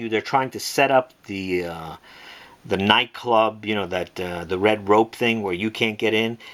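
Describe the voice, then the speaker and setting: At a moderate pace and with ordinary pitch variation, a normal speaking voice talks. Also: man. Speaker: watch and pencil holder maker, online seller. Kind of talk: tutorial. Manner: casual, filler-heavy.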